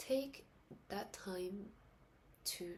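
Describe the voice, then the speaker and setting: Soft-spoken and somewhat breathy, a woman talks at a medium pitch with ordinary pitch variation. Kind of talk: casual talk to camera. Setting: indoors at night, late-night vlog. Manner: soft-spoken, reflective.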